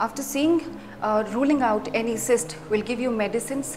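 With clear music in the background, a woman speaks with ordinary pitch variation. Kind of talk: medical explainer. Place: office. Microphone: lapel.

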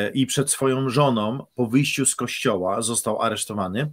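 A man talks fairly slowly, with ordinary pitch variation, and the background stays quiet. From Poland. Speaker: pastor. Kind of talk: casual chat; sermon. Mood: earnest, engaged. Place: home room. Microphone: studio mic.

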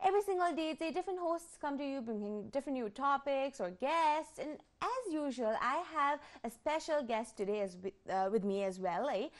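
A woman's high voice at a moderate pace, with very wide pitch swings and hardly any pauses, against a quiet background. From Nepal. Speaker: TV talk show host; TV show host. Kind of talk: TV interview. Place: studio. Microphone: lapel.

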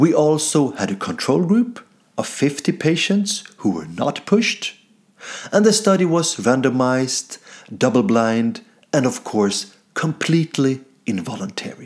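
With a Swedish accent and very wide pitch swings, a man speaks at a fairly slow pace over a quiet background. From Sweden. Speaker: comedian. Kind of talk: mock scientific presentation. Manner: formal. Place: home room. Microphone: webcam.

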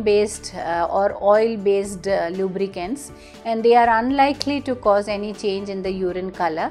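A woman talks at a moderate speed while faint music sits in the background. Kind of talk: explainer to camera. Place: office. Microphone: lapel.

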